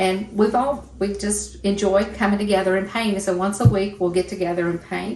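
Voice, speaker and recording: A woman at medium pitch speaks at a moderate pace with fairly even intonation and hardly any pauses. There is noticeable background noise and audible room echo. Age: 60s. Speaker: painting teacher and podcast co-host. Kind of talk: casual chat; painting tutorial. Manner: relaxed, halting with fillers.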